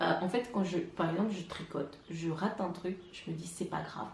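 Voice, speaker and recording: Over noticeable background noise and audible room echo, the speech moves at a moderate pace with ordinary pitch variation. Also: woman. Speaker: knitting vlogger. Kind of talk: casual vlog monologue. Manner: hesitant, many fillers.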